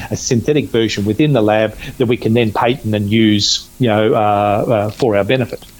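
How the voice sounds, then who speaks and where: Noticeable background noise is present throughout. A man speaks over it at a fairly quick pace. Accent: Australian. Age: 50s. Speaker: natural medicine practitioner. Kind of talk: interview. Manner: halting, many fillers.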